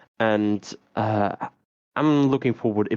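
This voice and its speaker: A man with a non-native accent speaks at a fairly low pitch with ordinary pitch variation. The sound is dry and close, with no echo. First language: not English. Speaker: esports caster. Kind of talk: live commentary. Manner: halting.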